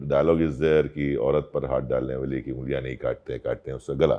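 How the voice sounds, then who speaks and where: A man speaks at a moderate pace. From Marathi household, India. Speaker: actor and dubbing artist. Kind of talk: interview answer.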